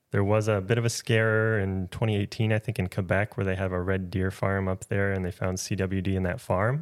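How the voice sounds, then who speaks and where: An ordinary speaking voice from a man with an American accent and fairly low pitch, at a fairly quick pace with hardly any pauses, on a very clean recording with a silent background and a dry, close sound with no echo. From Minnesota. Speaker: wildlife biologist. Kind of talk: casual interview. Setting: at home.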